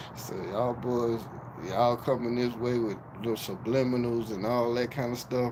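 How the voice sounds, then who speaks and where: A man speaks at medium pitch with monotone, flat intonation. Audible room echo and noticeable background noise surround him. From Miami, Florida. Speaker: YouTube live streamer. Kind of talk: livestream call-out rant. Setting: livestream. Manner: slow.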